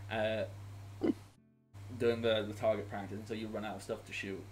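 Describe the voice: A man's fairly low voice with little pitch movement over faint background music. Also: moderate pace.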